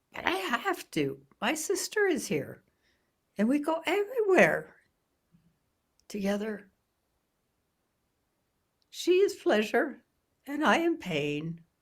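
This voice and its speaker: In a put-on character voice, the speaker sounds croaky and high-pitched. The delivery is fairly slow, with long, frequent pauses. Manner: pleading.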